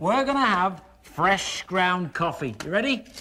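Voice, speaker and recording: With noticeable background noise behind him, a man uses a raised, projected voice in a cheerful, upbeat tone, with very wide pitch swings at a fairly slow pace. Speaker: infomercial host. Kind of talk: TV infomercial pitch.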